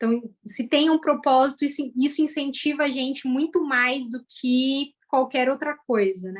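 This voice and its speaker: Speaking in a São Paulo accent, a woman with a high pitch talks at a moderate pace with ordinary pitch variation. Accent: Brazilian Portuguese, São Paulo (paulistano). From Brazil, São Paulo east zone. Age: 30s. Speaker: former educator turned data analyst. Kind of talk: interview testimony.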